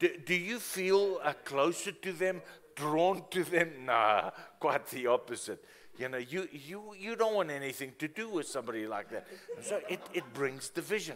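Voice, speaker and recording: A man talks at a moderate pace. Light background noise is present. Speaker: preacher. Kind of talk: sermon. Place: church.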